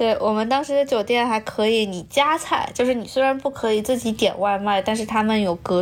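Using a plain, everyday voice, a woman speaks at a moderate pace with ordinary pitch variation. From Nanjing, China. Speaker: high school language teacher. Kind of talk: casual chat.

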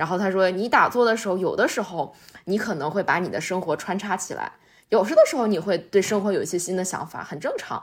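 A woman speaks in a normal speaking voice at medium pitch, with lively intonation and a fairly quick pace. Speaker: podcast host. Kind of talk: casual chat.

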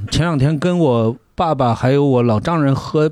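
The man's voice has a dark, mellow tone and a fairly high pitch. His intonation is lively. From Gansu, northwest China. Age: 40s. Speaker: podcast guest. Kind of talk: casual chat.

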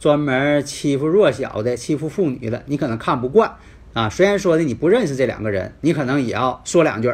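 The man's voice sits at a fairly high pitch and moves with lively intonation. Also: fairly quick pace. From Northeast China. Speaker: fortune-telling and feng shui teacher. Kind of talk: lecture. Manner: filler-heavy, with frequent 啊 and 呢.

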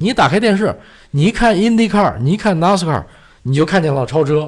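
A man speaks in a high pitch. His pitch swings very widely. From China. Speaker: motor racing enthusiast. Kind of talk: casual chat. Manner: halting, many filler sounds.

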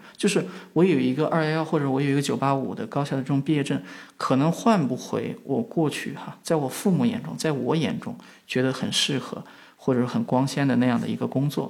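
Pitched fairly high, a man's voice moves with lively intonation. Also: fairly quick pace. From western China, rural. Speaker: media company founder. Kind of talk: conversational interview. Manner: frequent hesitation fillers.

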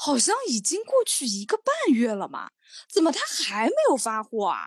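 At a moderate pace, a woman talks in a fairly high pitch with very wide pitch swings. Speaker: podcast co-host. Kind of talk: casual chat. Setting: video call. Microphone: slightly muffled audio.

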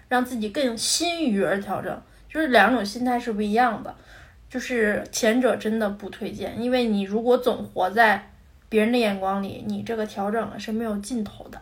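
Ordinary pitch variation and a moderate pace in a somewhat breathy voice. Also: woman, fairly high pitch for a woman. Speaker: podcast co-host. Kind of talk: casual chat.

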